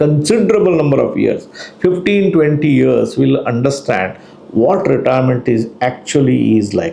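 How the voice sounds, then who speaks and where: With noticeable background noise and audible room echo, a man speaks at a fairly slow pace in a fairly high pitch, his voice making very wide pitch swings. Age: 60s. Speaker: financial planner. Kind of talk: educational talk.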